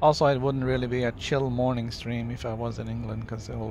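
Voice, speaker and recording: A man speaks very fast with a slight Norwegian accent. Room echo can be heard. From Norway. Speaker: video game streamer. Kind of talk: casual chat. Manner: relaxed, with many fillers.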